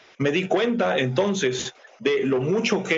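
Over noticeable background noise, a man talks at a very slow pace with lively intonation. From Ecuador. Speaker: church missionary. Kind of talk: interview. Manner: formal.

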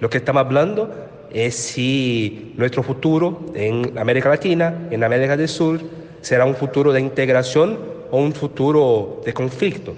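Someone speaks at a moderate pace with a Portuguese accent and ordinary pitch variation, against noticeable background noise. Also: man, medium pitch for a man. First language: Portuguese (speaking Spanish). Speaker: journalist and union leader. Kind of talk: interview.

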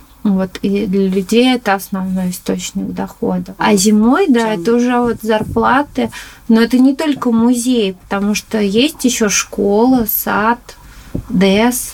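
Against noticeable background noise, a woman with a fairly high pitch talks at a fairly slow pace with ordinary pitch variation. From Moscow, Chertanovo district. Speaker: ceramic artist. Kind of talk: interview.

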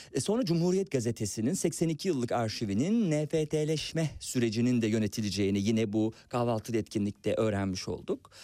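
A man with a medium pitch and a dark, mellow tone talks at a moderate pace with lively intonation, very even loudness and hardly any pauses, in a very clean recording with a silent background. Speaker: radio host. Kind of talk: casual chat.

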